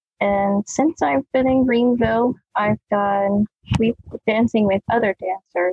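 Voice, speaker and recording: At a fairly slow pace, a woman with a fairly high pitch and a somewhat breathy voice speaks with ordinary pitch variation and very even loudness. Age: 30s. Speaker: dance company owner and dance teacher. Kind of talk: casual interview chat.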